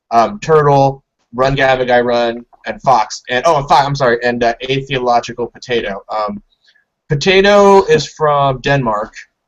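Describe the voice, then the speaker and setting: With an American accent, a man speaks at a medium pitch and a moderate pace, his pitch varying in an ordinary way. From Southern California. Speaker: podcast host. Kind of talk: casual chat.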